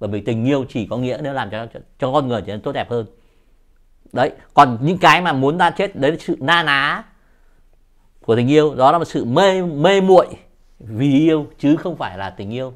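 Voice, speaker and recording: Against a quiet background, a man with lively intonation speaks at a fairly high pitch and a moderate pace. His loudness swings a lot, and he takes long, frequent pauses. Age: 60s. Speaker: poet. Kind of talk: interview. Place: home room. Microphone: lapel.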